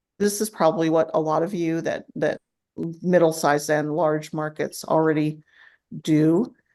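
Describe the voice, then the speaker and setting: The pace is moderate. Nothing much stirs in the quiet background. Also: woman, very deep, low pitch for a woman, fairly even intonation. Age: 60s. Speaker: farmers market director. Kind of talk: webinar presentation. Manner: halting.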